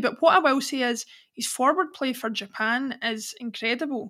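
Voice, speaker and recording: With a Scottish accent, a woman speaks in a bright, sharp tone on a very clean recording with a silent background. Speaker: podcast host. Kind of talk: casual interview.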